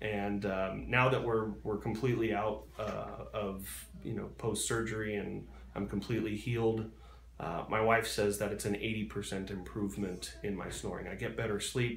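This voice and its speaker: This man has vocal fry and a fairly low pitch, speaking at a moderate pace with ordinary pitch variation. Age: 30s. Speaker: surgery patient. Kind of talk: interview answer.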